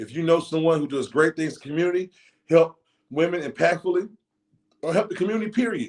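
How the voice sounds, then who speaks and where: A man with a high pitch talks at a very fast pace with ordinary pitch variation, long and frequent pauses, and big swings in loudness. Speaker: talk show host for a football team. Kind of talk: show intro announcements. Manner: fast-talking; rolls his R's.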